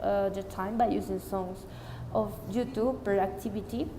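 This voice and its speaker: A woman talks at a moderate pace with fairly even intonation. There is audible room echo and noticeable background noise. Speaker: student teacher of English. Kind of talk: spoken report. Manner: loud.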